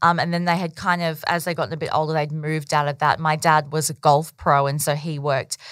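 With an Australian accent, the voice moves along at a fairly quick pace. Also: woman. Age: 30s. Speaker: business owner. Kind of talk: interview. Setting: podcast interview. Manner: casual, with filler words.

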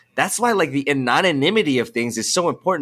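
With a Californian accent, a man talks at a fairly quick pace, his fairly high pitch carried by lively intonation. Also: very clean recording, silent background. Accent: Californian American English. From Los Angeles, San Fernando Valley. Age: 20s. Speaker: music producer and student. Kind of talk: casual chat.

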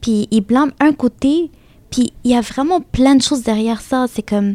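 With an Arabic accent, a woman talks at a moderate pace in a fairly high pitch, her tone dark and mellow, her pitch varying in an ordinary way, and the sound dry and close with no echo. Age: 20s. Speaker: student. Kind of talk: group discussion.

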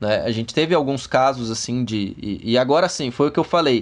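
Against a quiet background, a man with a normal speaking voice at medium pitch talks at a moderate pace with lively intonation. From interior of São Paulo state, Brazil. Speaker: forensic expert (criminal investigator). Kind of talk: interview.

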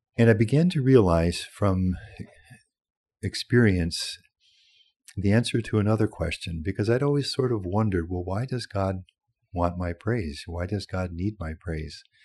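Speaking at a moderate pace with long, frequent pauses, a man uses a fairly low pitch with ordinary pitch variation, a warm tone and a somewhat breathy quality, over a quiet background. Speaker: priest and retreat director. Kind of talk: fervent prayer of praise, spoken aloud; interview, reflective talk. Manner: warm, devout, heartfelt.

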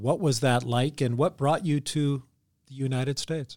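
The recording is very clean with a silent background. A man with a plain, everyday voice talks at a fairly high pitch and a moderate pace. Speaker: podcast co-host. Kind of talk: interview. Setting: studio.

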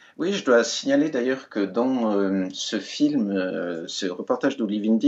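A man speaks at a very slow pace, his pitch in the medium range. His pitch moves with ordinary variation. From Switzerland, Valais. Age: 60s. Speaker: writer. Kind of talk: interview. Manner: hesitant.

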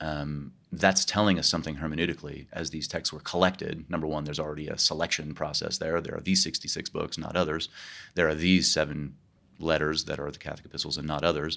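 Very fast, monotone, flat speech from a man with a Midwestern American accent, very deep and low in pitch, bright and sharp in tone, on a very clean recording with a silent background. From Kansas, US Midwest. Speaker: professor of theology. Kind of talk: interview conversation. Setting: recorded at a conference.

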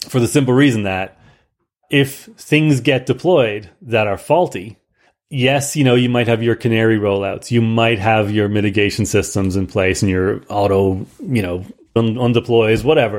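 At a moderate pace, a man's pitch varies in an ordinary way. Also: medium pitch for a man. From Ireland. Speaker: software industry professional. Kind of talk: casual technical interview. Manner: repeats words and restarts often.

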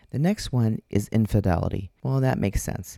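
A woman with an Upper Midwest accent, dark, mellow tone and very wide pitch swings at a moderate pace, in a dry, close sound on a very clean recording with a silent background. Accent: Upper Midwest American. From Minnesota. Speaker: podcast host, intimacy coach. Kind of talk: solo podcast monologue. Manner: casual, laughs often.

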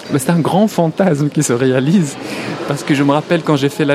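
A man speaks with an Arabic accent at a fairly high pitch. Music plays in the background. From Morocco. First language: Arabic (speaking French). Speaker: film director and writer. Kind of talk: interview. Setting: festival hall.

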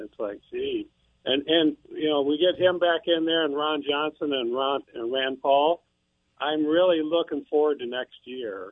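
A man with a Midwestern American accent speaks at a fairly slow pace. His pitch sits fairly high and varies an ordinary amount. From eastern Iowa. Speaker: caller. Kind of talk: call-in talk radio. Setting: phone call.

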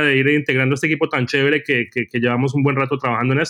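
Speaking very fast, a man with a fairly high pitch keeps his intonation flat and monotone. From Colombia, Cali. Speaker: journalist. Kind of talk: casual interview chat. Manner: halting, repeats words.

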